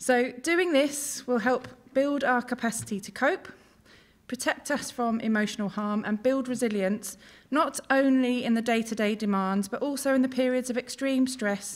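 Over a quiet background, a woman with a high pitch and ordinary pitch variation talks at a moderate pace. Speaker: conference presenter. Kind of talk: conference talk. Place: hall. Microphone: podium.

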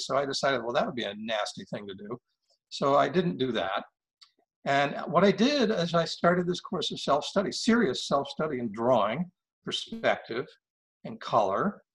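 A man with an American accent and vocal fry, fairly quick in pace, with very wide pitch swings against a quiet background. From Maine, US. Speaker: painter and retired diplomat. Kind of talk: interview. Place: home room. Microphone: webcam.

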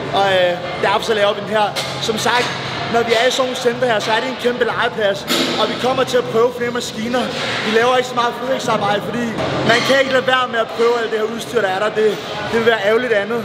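Music plays in the background as a man talks at a very fast pace. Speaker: bodybuilder vlogger. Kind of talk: casual vlog chat. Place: gym.

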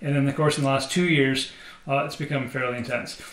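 A man speaks with a fairly high pitch. Audible room echo surrounds the voice. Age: 40s. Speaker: singer-songwriter. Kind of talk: casual vlog monologue. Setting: home studio. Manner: halting, many fillers. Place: studio.

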